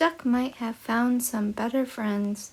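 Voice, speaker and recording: A woman puts on a character voice, pitched high and delivered fairly slowly. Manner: sad.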